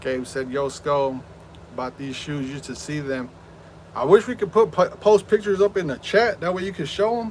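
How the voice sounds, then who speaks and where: Noticeable background noise sits behind a man with a fairly high pitch. He talks at a moderate pace with lively intonation and big swings in loudness. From Southern California. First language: Spanish. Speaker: gaming streamer. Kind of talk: live stream chat. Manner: animated.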